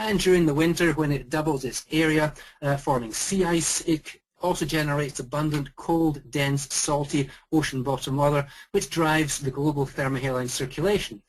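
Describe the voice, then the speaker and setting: Speaking in a Scottish accent, a man keeps a fairly high pitch, a moderate pace and fairly even intonation. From Scotland. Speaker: volcanologist. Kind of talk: lecture. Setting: video call.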